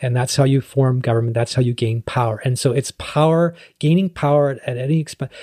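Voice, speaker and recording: A man with a medium pitch and a dark, mellow, somewhat breathy tone speaks at a fairly quick pace. The intonation is fairly even and the sound is dry and close with no echo. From Canada, North Vancouver. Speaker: city councillor. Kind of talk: casual interview. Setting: in person.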